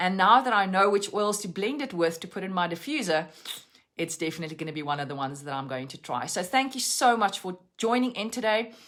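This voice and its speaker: A woman speaks very fast in a South African accent. Her pitch swings very widely and her loudness rises and falls sharply. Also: medium pitch for a woman. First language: Afrikaans. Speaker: essential oils educator. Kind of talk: live-stream lesson. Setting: Facebook live stream.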